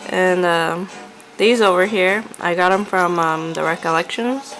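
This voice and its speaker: With music in the background, a woman speaks very slowly at a medium pitch and ordinary pitch variation. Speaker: crafter. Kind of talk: casual talk to camera. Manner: chatty; hesitant, filler-heavy.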